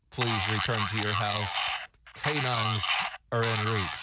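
Using a put-on character voice, a man speaks at a medium pitch with a raspy sound, a moderate pace and fairly even intonation. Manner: evil, stern.

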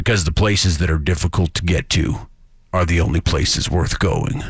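A man's put-on character voice, very deep and low in pitch, solemn in tone, with ordinary pitch variation and very even loudness. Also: moderate pace. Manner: solemn, rugged, inspirational.

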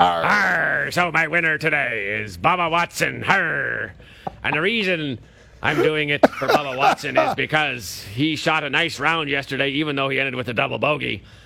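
Light background noise accompanies a man putting on a character voice, fairly high-pitched, at a moderate pace. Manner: growling, exaggerated.

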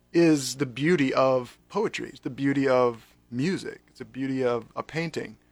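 With music in the background, a fairly high-pitched man with an American accent talks at a fairly slow pace with ordinary pitch variation. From North Carolina. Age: 40s. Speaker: pastor. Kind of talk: casual chat.

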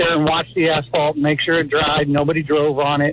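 A man talks over noticeable background noise. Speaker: caller. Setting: phone call.

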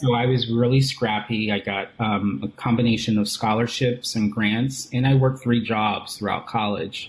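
A man talks at a moderate pace with hardly any pauses. His ordinary speaking voice sits at medium pitch with fairly even intonation. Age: 40s. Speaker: image consultant and executive coach. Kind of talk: interview.

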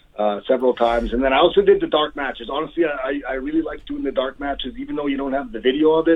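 Noticeable background noise runs under the recording. A man speaks at a very fast pace. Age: 40s. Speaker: pro wrestler. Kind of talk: casual chat.

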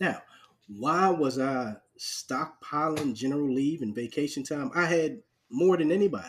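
An American-accented man with a fairly high pitch talks at a fairly slow pace with lively intonation. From New York (Harlem) and Charleston, South Carolina. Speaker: podcast host, Army veteran. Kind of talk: casual interview.

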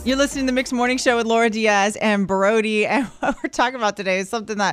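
Upbeat in tone, a woman talks at a very fast pace with a fairly high pitch. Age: 30s. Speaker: radio host. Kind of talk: morning radio banter. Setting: radio studio.

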